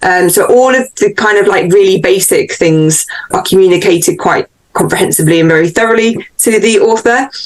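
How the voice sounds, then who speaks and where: Speaking with a British accent, this woman has a medium pitch and ordinary pitch variation. She keeps a fairly quick pace and very even loudness. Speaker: book editor. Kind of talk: interview. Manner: animated.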